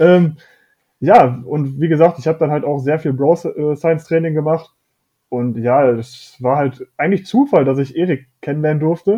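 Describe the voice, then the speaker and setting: A man with an unremarkable speaking voice talks at a fairly high pitch and moderate pace, with ordinary pitch variation. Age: 20s. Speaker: fitness coaching client. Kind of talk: casual interview chat.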